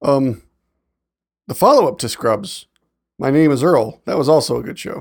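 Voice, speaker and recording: A man speaks with long, frequent pauses. The recording is very clean, with a silent background. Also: moderate pace. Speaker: podcast co-host. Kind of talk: casual banter among friends. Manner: animated, joking storyteller.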